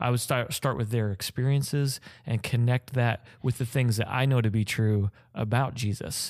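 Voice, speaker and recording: A man with a normal speaking voice talks at a moderate pace and medium pitch, his intonation fairly even and his loudness very even, in a very clean recording with a silent background. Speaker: doctoral student in ministry. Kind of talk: casual chat.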